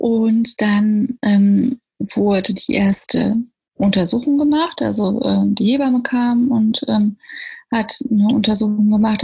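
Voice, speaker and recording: A woman's fairly high, somewhat breathy voice with a dark, mellow tone. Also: very even loudness. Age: 30s. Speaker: mother sharing birth story. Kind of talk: interview about personal birth experience.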